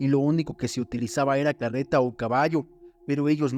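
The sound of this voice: An unforced reading voice moves with fairly even intonation.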